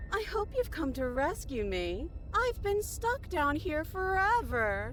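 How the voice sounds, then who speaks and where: A put-on character voice speaks at a high pitch and a fairly slow pace. Clear music plays in the background. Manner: falsely hopeful, sweet.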